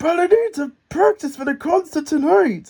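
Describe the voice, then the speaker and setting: A man does a squeaky put-on character voice at an extremely high pitch. The pace is moderate. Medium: read story. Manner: eager, nervous.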